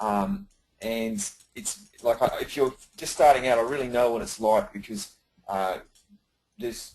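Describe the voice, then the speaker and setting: Delivered in an Australian accent, the speech has lively intonation, big swings in loudness, and long, frequent pauses. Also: man, medium pitch for a man. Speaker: business coach. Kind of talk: webinar presentation. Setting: live webinar. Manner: fast when excited; hesitant, many fillers.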